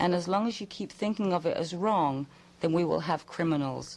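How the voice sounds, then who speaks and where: A woman's fairly low voice with an English accent. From England. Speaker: psychic. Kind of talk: radio call-in advice. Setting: radio studio.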